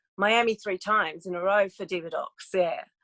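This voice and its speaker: With an Australian accent, a woman talks at a fairly quick pace in a bright, sharp tone, captured with a dry, close sound and no echo. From Australia, Melbourne. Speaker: podcast guest, talk show creator and doctoral candidate. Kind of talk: casual interview chat. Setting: podcast interview.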